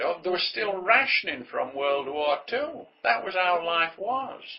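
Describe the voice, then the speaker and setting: A man with a northern English accent speaks at a fairly slow pace, with noticeable background noise behind him. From northern England. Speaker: entrepreneur. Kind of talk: motivational monologue. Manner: conversational.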